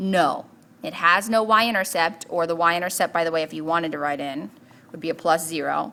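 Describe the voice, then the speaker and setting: The woman here has a bright, sharp tone and ordinary pitch variation. She talks at a fairly quick pace. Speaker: math teacher. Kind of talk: tutorial.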